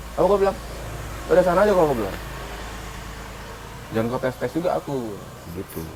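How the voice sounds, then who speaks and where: A man with a Medan accent and a fairly high voice, very fast pace, very wide pitch swings, long and frequent pauses, over noticeable background noise. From North Sumatra, Medan area. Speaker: podcast co-host. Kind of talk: casual chat.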